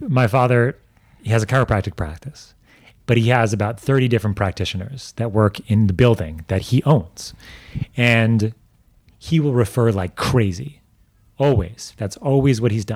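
A man with an American accent speaks at a medium pitch with ordinary pitch variation on a very clean recording with a silent background. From New York. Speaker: medical doctor. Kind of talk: interview. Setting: medical clinic. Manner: fast; animated.

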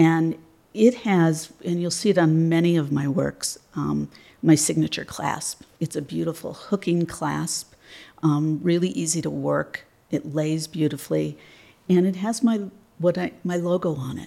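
A woman's fairly low voice with a Midwestern American accent, dark, mellow tone, ordinary pitch variation and a fairly slow pace. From Michigan, near Detroit. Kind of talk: interview. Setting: studio.

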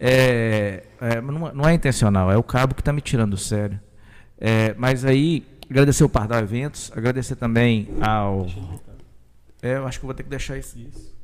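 A man talks at a moderate pace in a medium pitch with ordinary variation, leaving long, frequent pauses. His loudness swings widely, and the recording is very clean with a silent background. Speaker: podcast host. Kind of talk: live podcast chat.

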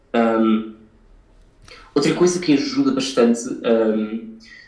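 The voice belongs to a man and sits at a medium pitch. There is audible echo from the room. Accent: European Portuguese. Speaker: violinist. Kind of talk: interview. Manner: halting, many fillers.

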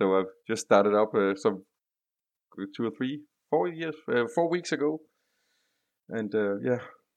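Against a quiet background, a man with a Danish accent and a medium pitch speaks at a moderate pace with lively intonation and long, frequent pauses. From Denmark. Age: 40s. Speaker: IT consultant. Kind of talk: casual interview. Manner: halting.

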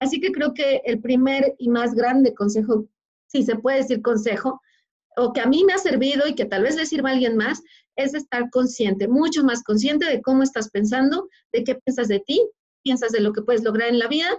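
A woman's high voice moves at a moderate pace, its pitch varying in an ordinary way. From Mexico, Puebla state. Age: 30s. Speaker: former corporate executive turned motivational speaker. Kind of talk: interview. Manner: animated.

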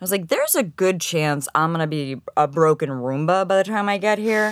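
An unremarkable speaking voice with an American accent moves at a fairly quick pace with ordinary pitch variation. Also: woman. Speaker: technical SEO consultant. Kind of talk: interview. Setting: studio.

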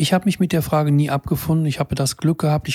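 A somewhat breathy man with a dark, mellow tone talks at a fairly quick pace, his fairly high pitch held in fairly even intonation. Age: 70s. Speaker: physician and health podcaster. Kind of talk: solo monologue to camera. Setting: in front of a camera.

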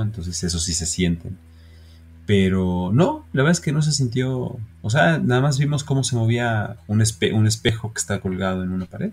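Music plays behind a man speaking at a moderate pace. His pitch is fairly low and his intonation lively. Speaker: podcast co-host, business owner. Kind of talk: casual chat.

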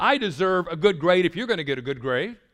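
This man's voice is high-pitched with a bright, sharp tone, moving at a moderate pace with lively intonation. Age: 60s. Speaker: pastor. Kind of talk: sermon. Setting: stage with audience. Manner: animated.

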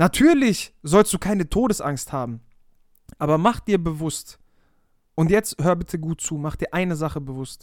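An animated tone at a moderate pace, broken by long, frequent pauses, runs through the clip. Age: 20s. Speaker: life coach podcaster. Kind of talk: motivational monologue.

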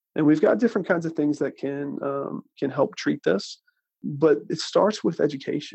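An unremarkable speaking voice, a man's, with a fairly high pitch, a moderate pace and lively intonation. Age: 30s. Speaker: dentist. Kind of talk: interview.

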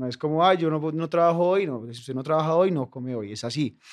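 The recording is very clean with a silent background. A man with a plain, everyday voice and a fairly high pitch speaks at a fairly quick pace with ordinary pitch variation. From Colombia, Bogotá. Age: 20s. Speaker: comedian. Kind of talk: casual chat.

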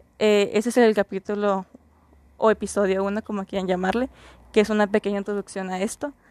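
A woman speaks at a medium pitch and a fairly quick pace, her intonation monotone and flat, in a dry, close recording with no echo over a quiet background. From Mexico, Mexicali, Baja California. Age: 20s. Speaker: podcast host, psychology student. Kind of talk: casual monologue.

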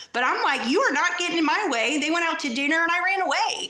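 A woman with an American accent speaks in a raised, projected voice with ordinary pitch variation. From New York. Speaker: addict in recovery, Facebook page creator. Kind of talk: personal story interview.

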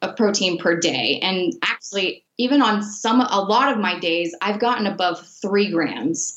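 This woman has a plain, everyday voice at a medium pitch, with an American accent. She talks at a moderate pace with lively intonation. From Miami, Florida. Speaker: sports nutritionist. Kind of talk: interview.

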